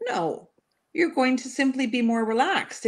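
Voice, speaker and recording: A woman with a normal speaking voice talks in a Canadian accent at a fairly quick pace, her intonation lively. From Canada. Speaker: panelist. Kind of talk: casual panel chat.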